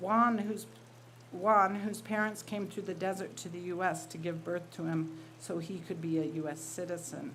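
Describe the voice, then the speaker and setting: Ordinary pitch variation at a moderate pace, the room echo audible. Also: woman. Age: 60s. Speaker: writer and college teacher. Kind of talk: reading aloud.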